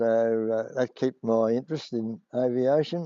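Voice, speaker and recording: A man with a strong Australian accent speaks at a medium pitch with fairly even intonation. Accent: broad Australian. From rural Victoria, Australia. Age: 80s+. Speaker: war veteran. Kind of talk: oral history interview. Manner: halting, many fillers.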